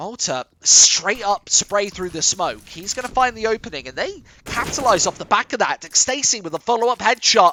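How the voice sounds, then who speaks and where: A man talks with an English accent, his high-pitched voice animated in tone. His intonation is lively, and his loudness swings widely. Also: moderate pace. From England. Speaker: esports caster. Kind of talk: live commentary. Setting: studio.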